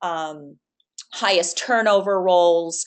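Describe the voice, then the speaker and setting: A woman's fairly low voice, monotone and flat, at a very slow pace against a quiet background. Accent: Boston. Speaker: webinar presenter. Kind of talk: webinar Q&A. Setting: online webinar.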